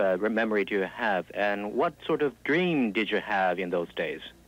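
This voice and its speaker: A man with a Japanese accent speaks at a moderate pace, the sound dry with no echo and light background noise behind him. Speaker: interpreter. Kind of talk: consecutive interpreting. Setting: stage with audience. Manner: halting. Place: hall.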